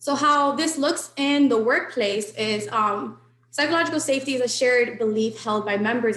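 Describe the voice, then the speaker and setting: Lively intonation from a woman, with noticeable background noise. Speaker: webinar presenter on workplace safety. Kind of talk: webinar presentation. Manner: fast.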